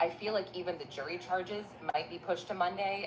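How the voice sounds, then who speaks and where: Noticeable background noise around a soft-spoken woman's voice. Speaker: court news commentator. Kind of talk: news recap vlog.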